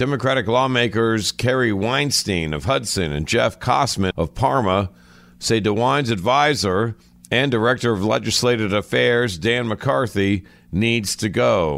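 Against a silent background in a very clean recording, a plain, everyday voice with an American accent speaks at a fairly slow pace with lively intonation. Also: man, medium pitch for a man. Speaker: news reader. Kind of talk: formal newsreading of local headlines, scripted and brisk, like a radio news bulletin. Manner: formal, even-paced and neutral, with clear professional delivery.

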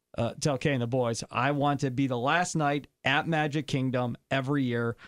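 The recording has a dry, close sound with no echo. A man speaks at a moderate pace in an ordinary speaking voice with ordinary pitch variation. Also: very clean recording, silent background. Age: 40s. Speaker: radio host and podcast host. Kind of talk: casual chat.

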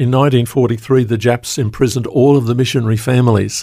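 The speaker has an Australian accent on a very clean recording with a silent background. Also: man. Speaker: pastor. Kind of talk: interview. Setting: studio.

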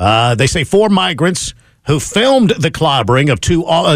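A plain, everyday voice with an American accent. It moves at a moderate pace with lively intonation. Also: man. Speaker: radio host. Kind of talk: talk radio banter and news commentary. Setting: radio studio.

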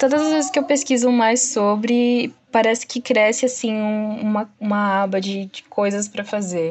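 A woman speaks in a fairly high pitch at a moderate pace, with hardly any pauses and ordinary pitch variation. Noticeable background noise is present. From São Paulo, Brazil. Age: 20s. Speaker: junior web developer. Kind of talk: interview.

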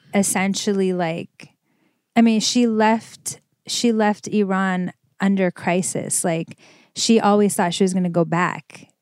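In a very clean recording with a silent background and a dry, close sound with no echo, a woman with an American accent speaks at a medium pitch with fairly even intonation. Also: fairly slow pace. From Los Angeles, California. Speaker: fashion designer and entrepreneur. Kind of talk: interview.

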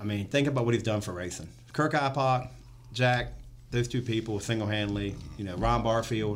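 This man talks at a fairly quick pace in an ordinary speaking voice, medium in pitch with ordinary pitch variation. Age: 40s. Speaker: race spotter. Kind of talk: casual chat. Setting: studio.

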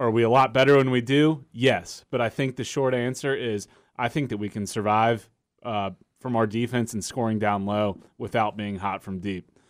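An ordinary speaking voice from a man at medium pitch, with fairly even intonation and a moderate pace. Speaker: podcast co-host. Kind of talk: casual sports chat.

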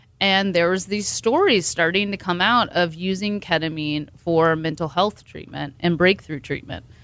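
A woman in a normal speaking voice talks at a moderate pace with hardly any pauses, her pitch fairly low with ordinary variation, on a very clean recording with a silent background. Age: 40s. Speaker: ketamine clinic owner and doctor. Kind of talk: interview.

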